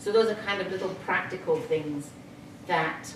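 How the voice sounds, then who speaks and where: The speaker has a British accent and a moderate pace. Audible room echo and noticeable background noise fill the recording. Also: woman. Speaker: retired teacher with brain injury. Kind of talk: testimony. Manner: halting.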